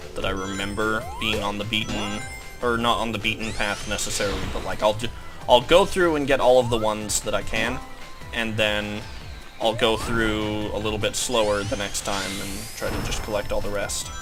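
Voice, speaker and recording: Over music in the background, a man talks at a moderate pace. His pitch is fairly low and his intonation fairly even. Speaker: gameplay commentator. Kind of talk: casual gaming commentary.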